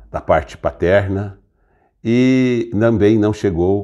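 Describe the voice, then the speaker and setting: Lively intonation from a man with a fairly low pitch and a dark, mellow tone against a quiet background. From Brazil, Franca (São Paulo state). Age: 60s. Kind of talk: personal testimony. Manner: halting, with self-corrections.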